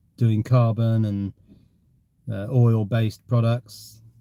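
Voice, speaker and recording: A man speaks with an English accent at a fairly low pitch, his tone dark and mellow. He sounds somewhat breathy, with fairly even intonation. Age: 60s. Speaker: live streamer. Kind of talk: casual chat.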